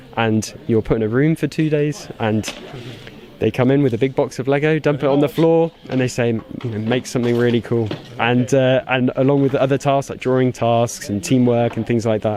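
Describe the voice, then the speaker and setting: Noticeable background noise behind a fairly quick delivery with fairly even intonation. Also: man, medium pitch for a man. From UK. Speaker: toy designer. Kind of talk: interview.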